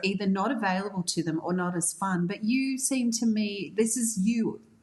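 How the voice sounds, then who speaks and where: There is noticeable background noise behind this woman. Her fairly high voice shows ordinary pitch variation. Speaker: podcast host. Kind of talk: podcast interview. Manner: upbeat.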